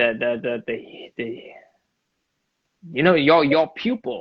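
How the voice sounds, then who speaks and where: Here a man speaks at a very slow pace. His pitch is medium. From Vietnam. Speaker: street dancer. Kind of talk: interview. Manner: halting, many repetitions.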